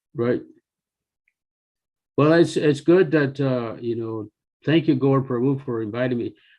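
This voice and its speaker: With ordinary pitch variation, a plain, everyday voice proceeds at a moderate pace. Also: man. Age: 60s. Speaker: devotee and temple finance officer. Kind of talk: casual chat.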